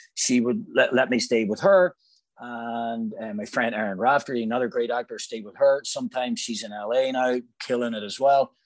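A man speaks at a moderate pace with a Northern Irish accent. His pitch sits in the middle range with ordinary variation, over a quiet background. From Northern Ireland, Newry, County Down. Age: 40s. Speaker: actor. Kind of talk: casual chat.

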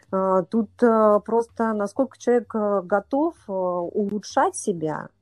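A woman speaks in a dry, close recording with no echo. Music plays in the background. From Russia, Saint Petersburg. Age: 40s. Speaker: triathlete and coach. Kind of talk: interview. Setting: remote call.

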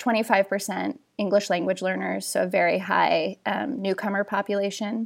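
Speaking with hardly any pauses, a woman uses fairly even intonation and vocal fry. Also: medium pitch for a woman, moderate pace. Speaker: author and journalist. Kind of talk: casual chat. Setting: podcast interview.

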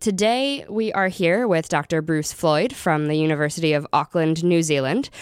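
An ordinary speaking voice at a moderate pace, with lively intonation, very even loudness and hardly any pauses. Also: woman, fairly low pitch for a woman. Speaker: graduate student podcast host. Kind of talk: interview.

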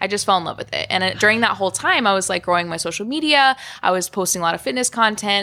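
Speaking at a very fast pace, a woman uses lively intonation and a medium pitch with a bright, sharp tone. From Florida and Kansas, US. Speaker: nurse and fitness influencer. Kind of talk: casual interview.

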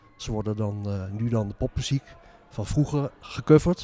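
A man speaks with music playing in the background. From Zaanstreek, North Holland, Netherlands. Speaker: author and music historian. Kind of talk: interview. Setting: former church, community centre.

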